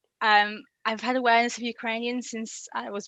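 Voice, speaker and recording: A woman's fairly high voice with a Yorkshire accent, at a fairly quick pace over a quiet background. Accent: Yorkshire twang. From Yorkshire, northern England. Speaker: language learner guest. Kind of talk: interview. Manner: hesitant, many fillers.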